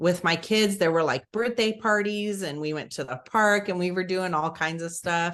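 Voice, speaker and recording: With a Southern US accent, a woman of medium pitch speaks against a quiet background. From Alabama. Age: 40s. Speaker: mother of eight. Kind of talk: interview answer.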